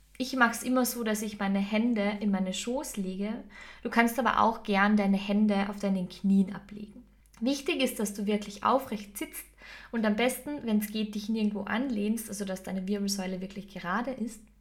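A woman speaks at a moderate pace with fairly high pitch and fairly even intonation. Her voice is somewhat breathy. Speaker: podcast host and meditation guide. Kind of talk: guided meditation.

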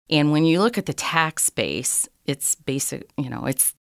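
With an American accent, a woman speaks at a very deep, low pitch in a very clean recording with a silent background and a dry, close sound with no echo. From Michigan, Marysville. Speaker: city mayor. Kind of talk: interview.

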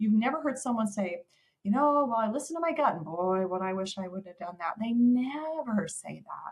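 Her voice is somewhat breathy and fairly high, with very wide pitch swings. The woman keeps a moderate pace while her loudness swings widely. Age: 50s. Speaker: dental speaker and coach. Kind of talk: casual chat.

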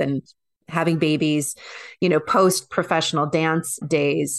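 A woman's unremarkable speaking voice, fairly low and fairly slow, with ordinary pitch variation. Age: 40s. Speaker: transformational coach and former professional dancer. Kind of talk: interview conversation.

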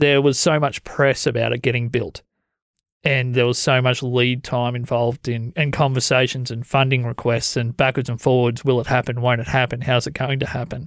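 Speaking in a monotone, flat intonation with an Australian accent, a man talks at medium pitch and a moderate pace on a very clean, dry recording with a silent background and no echo. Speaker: podcast host. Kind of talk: casual chat. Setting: studio.

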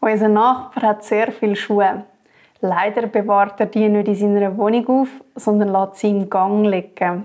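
A woman's medium-pitched voice, dark and mellow in tone, flat and monotone, at a fairly slow pace. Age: 30s. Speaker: marketing worker, tenant. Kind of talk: casual chat.

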